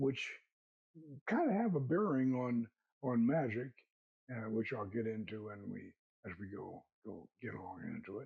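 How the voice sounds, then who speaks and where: Somewhat breathy, this speaker has an American accent, lively intonation and big swings in loudness at a moderate pace. Long pauses come often. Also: man, medium pitch for a man. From US South (Florida, Georgia). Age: 80s+. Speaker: occult author and order founder. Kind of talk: interview. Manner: halting, many repeated words.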